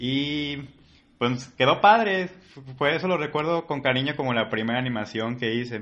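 A man with a fairly high pitch and ordinary pitch variation speaks at a moderate pace in a normal speaking voice. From Mexico, Colima. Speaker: freelance animator. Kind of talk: casual chat.

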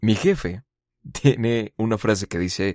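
A man with a Mexican accent, lively intonation and a fairly slow pace, in dry, close sound with no echo. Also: quiet background. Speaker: podcast host. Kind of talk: solo monologue podcast. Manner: casual, conversational.

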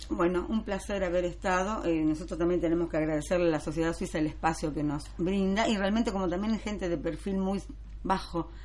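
There is audible room echo as a woman speaks at a fairly quick pace. Her pitch is fairly low and her intonation fairly even. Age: 60s. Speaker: French teacher. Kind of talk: radio interview.

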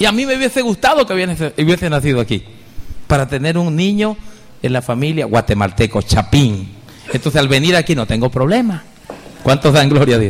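Amid noticeable background noise, a man talks in an animated tone at a fairly quick pace, his pitch swinging very widely. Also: fairly high pitch for a man. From Venezuela. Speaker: pastor. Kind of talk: sermon.

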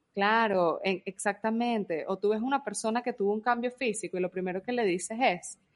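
A plain, everyday voice from a woman, fairly high in pitch, at a moderate pace over a quiet background. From Venezuela. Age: 30s. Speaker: podcast co-host. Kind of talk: casual chat.

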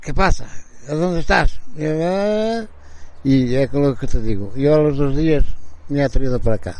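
At a fairly slow pace, a man speaks with lively intonation in a fairly high pitch. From Portugal, Bragança. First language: Portuguese (speaking Spanish). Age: 60s. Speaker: formerly homeless man. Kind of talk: testimony. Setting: outdoor porch. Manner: halting.

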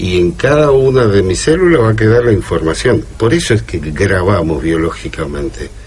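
A man with a fairly low pitch talks at a moderate pace with hardly any pauses and very wide pitch swings. Noticeable background noise sits behind him. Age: 50s. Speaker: radio co-host. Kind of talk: casual radio discussion. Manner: halting.

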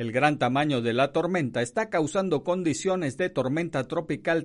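A man talks fairly slowly in an unremarkable speaking voice, his intonation lively. The background is quiet. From Venezuela. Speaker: radio news journalist. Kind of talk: news reading; casual radio commentary.

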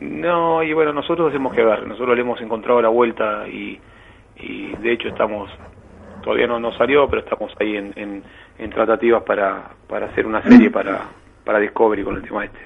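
A man with a Rioplatense accent talks at a fairly quick pace. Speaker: tattoo artist. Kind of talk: phone interview. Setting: phone call.

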